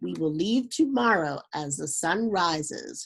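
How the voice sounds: Putting on a character voice, a woman speaks slowly at a fairly low pitch, with lively intonation, vocal fry and a slightly husky edge.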